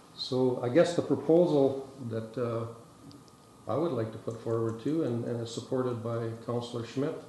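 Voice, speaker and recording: Speaking at a moderate pace with fairly even intonation, a man is heard with audible room echo and light background noise. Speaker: town councillor. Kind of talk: meeting proposal speech. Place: meeting room.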